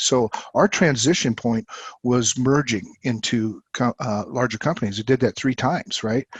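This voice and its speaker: A man with a normal speaking voice talks at a moderate pace and medium pitch, with a dry, close sound and no echo. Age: 60s. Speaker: company CEO. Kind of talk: interview.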